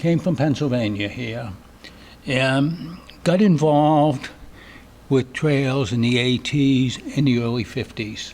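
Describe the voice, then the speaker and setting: Someone talks at a very slow pace in a Boston accent. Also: man. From Boston area, US. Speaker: trail crew leader and hostel operator. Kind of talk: acceptance speech.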